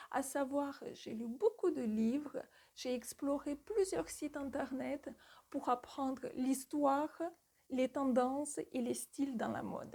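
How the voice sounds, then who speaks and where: Fairly slow delivery in a non-native accent, with a dark, mellow tone. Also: woman. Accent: foreign accent in French. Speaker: retail store manager and sales coach. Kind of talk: tutorial.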